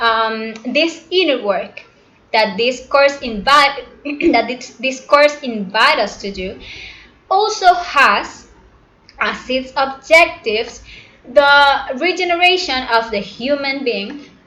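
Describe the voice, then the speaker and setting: With a non-native accent, a woman projects a raised, high-pitched voice at a very slow pace with lively intonation, amid audible room echo and noticeable background noise. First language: not English. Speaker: spiritual teacher. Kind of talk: lecture. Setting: live broadcast. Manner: halting.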